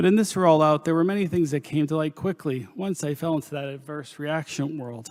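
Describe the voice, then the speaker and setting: With an American accent, a man speaks in a normal speaking voice at a fairly high pitch with ordinary pitch variation. His pace is fairly quick, with hardly any pauses. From Pennsylvania coal region, US. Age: 50s. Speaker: nurse practitioner giving testimony. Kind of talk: testimony. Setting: panel discussion. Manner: formal.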